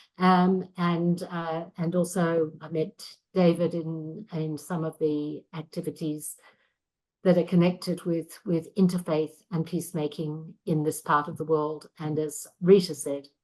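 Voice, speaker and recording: A monotone, flat delivery at a fairly slow pace over a quiet background. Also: woman, fairly low pitch for a woman. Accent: slight Australian. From Australia. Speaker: interfaith educator. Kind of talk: video call self-introduction. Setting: video call.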